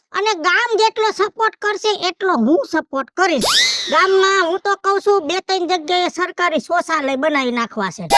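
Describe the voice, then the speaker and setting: A woman puts on a character voice at an extremely high pitch. She speaks at a moderate pace with lively intonation. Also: dry, close sound with no echo. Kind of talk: rustic comic sketch. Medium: comedy sketch. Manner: bossy, loud, self-important.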